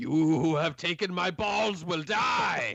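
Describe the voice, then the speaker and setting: A man does a put-on character voice at a high pitch. It is raspy and fairly slow. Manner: menacing.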